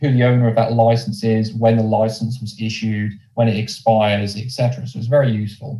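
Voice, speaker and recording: At a fairly quick pace, a man talks in a somewhat breathy, dark, mellow tone with a medium pitch and monotone, flat intonation. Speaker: business development manager at a lender. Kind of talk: presentation.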